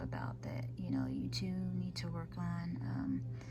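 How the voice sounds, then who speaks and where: A soft-spoken woman in a monotone, flat intonation over noticeable background noise. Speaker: tarot reader. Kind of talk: tarot card reading to camera.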